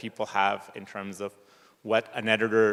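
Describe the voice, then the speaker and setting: A man's medium-pitched, normal speaking voice at a moderate pace. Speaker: researcher and project panelist. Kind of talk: panel discussion.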